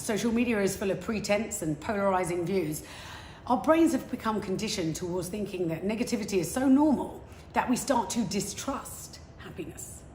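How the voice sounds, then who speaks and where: In a southern English accent, a woman at medium pitch talks in an animated tone with lively intonation at a fairly quick pace, amid noticeable background noise and audible room echo. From England, London. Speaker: motivational speaker.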